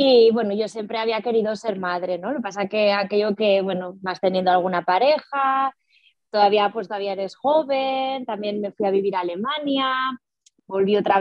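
Ordinary pitch variation and a moderate pace in a woman's fairly high voice. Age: 40s. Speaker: single mother sharing fertility story. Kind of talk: personal testimony interview. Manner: halting, many repetitions and fillers.

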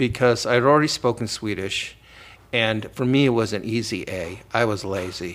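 A man at medium pitch with ordinary pitch variation, a plain, everyday voice. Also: moderate pace. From US Midwest, Cleveland, Ohio. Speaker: professor and author. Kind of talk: interview.

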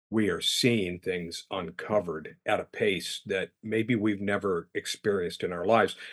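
An unremarkable speaking voice at a moderate pace, with fairly even intonation, hardly any pauses and a quiet background. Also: man, fairly low pitch for a man, dry, close sound with no echo. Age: 60s. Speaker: guest, prayer group member. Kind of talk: casual conversation.

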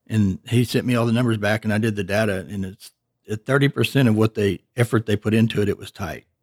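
A man with an East Texas accent, fairly low pitch and fairly even intonation at a very fast pace, in a dry, close sound with no echo. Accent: East Texas Southern US. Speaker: retired machine shop owner. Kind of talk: interview.

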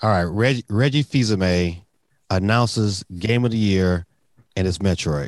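A man with an American accent and a normal speaking voice, fairly low in pitch with ordinary pitch variation, at a fairly slow pace and very even loudness, in a dry, close sound with no echo. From Detroit, US. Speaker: gaming YouTuber. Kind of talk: casual chat.

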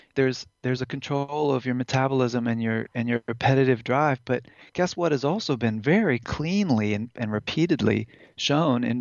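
A man with a medium-pitched voice speaks fairly quickly, his intonation rising and falling normally. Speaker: neurophysiologist, former biology professor. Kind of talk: interview about cannabis science. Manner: halting, with repeated words.

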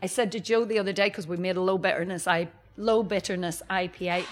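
Speaking in a Northern Irish accent, the voice moves at a fairly quick pace. Its pitch varies in an ordinary way. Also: woman. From Northern Ireland. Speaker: brewery director. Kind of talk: interview. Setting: brewery bar.

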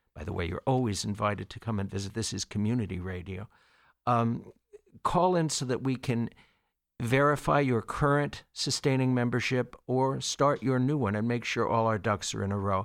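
A man at medium pitch and moderate pace, an unremarkable speaking voice with ordinary pitch variation, on a very clean recording with a silent background. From Long Island, New York. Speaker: radio station volunteer. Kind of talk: fundraising appeal. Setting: radio studio.

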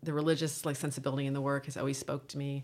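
A woman with an American accent and vocal fry talks at a very fast pace. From US South, Virginia. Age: 50s. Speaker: novelist and professor. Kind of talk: casual interview conversation. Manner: halting, stuttering, repeats words.

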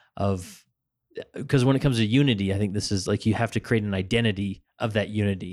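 With an American accent, a man speaks fairly quickly in a plain, everyday voice at a fairly low pitch with ordinary pitch variation, on a very clean recording with a silent background. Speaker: podcast host. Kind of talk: interview. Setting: on location at a church building.

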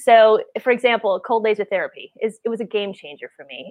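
A woman with an American accent talks in a normal speaking voice at a fairly quick pace, her pitch medium. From US Midwest, Wisconsin. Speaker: podcast host, health practitioner. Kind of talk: casual chat.

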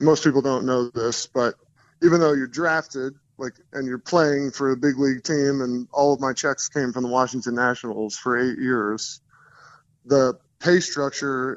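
This man has a normal speaking voice at a medium pitch, with an American accent. He talks at a moderate pace. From US Northeast, New Jersey. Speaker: former pro baseball player, life coach. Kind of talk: casual interview.

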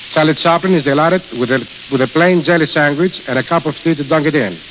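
With noticeable background noise around him, the man speaks fairly quickly in a fairly high pitch. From Greece. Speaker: restaurant manager. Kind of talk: radio interview.

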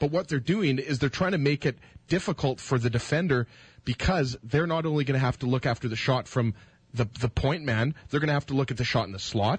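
Recorded dry and close with no echo, a somewhat breathy man talks at a fairly quick pace, medium in pitch with ordinary pitch variation. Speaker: radio co-host. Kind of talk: sports commentary and debate. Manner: casual, opinionated, lively.

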